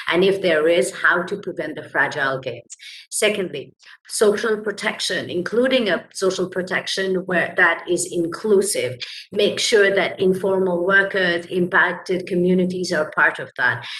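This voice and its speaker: A woman talks at a moderate pace in a medium pitch with ordinary pitch variation. Hers is an unremarkable speaking voice. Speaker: labour rights advocate. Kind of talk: panel presentation.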